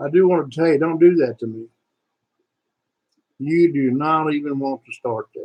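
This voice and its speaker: A man with a Southern US accent speaks at a moderate pace, his pitch fairly high with ordinary variation. His loudness swings widely, with long, frequent pauses, and the sound is dry and close with no echo. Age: 70s. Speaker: YouTube political commentator, veteran. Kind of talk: political rant vlog. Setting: live stream. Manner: animated.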